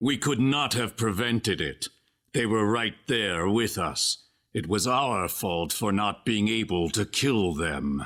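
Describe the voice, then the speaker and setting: A man puts on a character voice, fairly low in pitch and fairly slow in pace, on a very clean recording with a silent background. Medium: video game.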